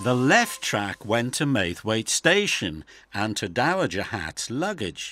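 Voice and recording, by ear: The clip is reading aloud. The voice stays natural.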